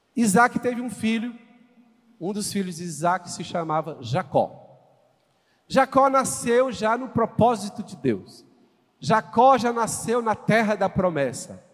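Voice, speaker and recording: The delivery is very slow, broken by long, frequent pauses. Even so, the intonation stays lively. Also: man, high pitch for a man. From Brazil, Goiânia (Goiás). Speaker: visiting pastor. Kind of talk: sermon. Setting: church stage with congregation. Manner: animated.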